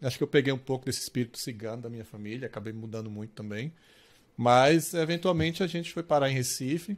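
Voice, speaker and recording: A man speaks with lively intonation. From Brazil, Pernambuco interior; Pernambuco, Brazil. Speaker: games industry executive; podcast guest. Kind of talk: interview; interview answer. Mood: calm, reflective. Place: home room.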